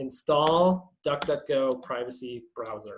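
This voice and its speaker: The man's voice sounds somewhat breathy. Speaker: privacy activist workshop presenter. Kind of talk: online workshop presentation. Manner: fast; halting, many fillers.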